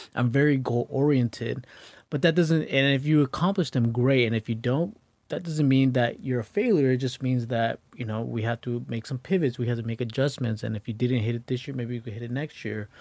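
A man speaks at a medium pitch and a fairly quick pace with ordinary pitch variation in an unremarkable speaking voice, on a very clean recording with a silent background. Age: 30s. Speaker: realtor. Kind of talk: casual chat.

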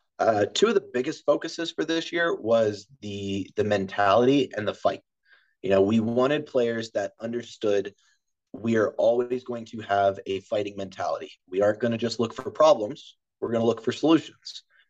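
A man with an unremarkable speaking voice, an American accent and a medium pitch, at a moderate pace with ordinary pitch variation. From Maryland, US (Harford County). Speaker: college soccer coach. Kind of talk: casual interview.

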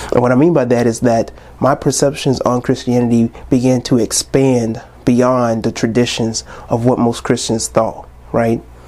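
A man at medium pitch speaks at a moderate pace in a monotone, flat intonation with very even loudness. Noticeable background noise sits behind him. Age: 20s. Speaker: podcast host. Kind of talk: casual monologue. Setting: recorded on New Year's Eve.

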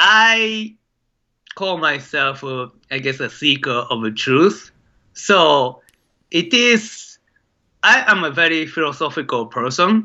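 Speaking very slowly with a Japanese accent and long, frequent pauses, a man uses a high pitch with very wide swings. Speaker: documentary filmmaker. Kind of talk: interview. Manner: hesitant, many filler sounds.

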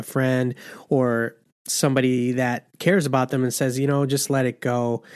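With fairly even intonation, a man speaks in a normal speaking voice at a medium pitch and a moderate pace. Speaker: podcast host. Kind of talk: casual interview.

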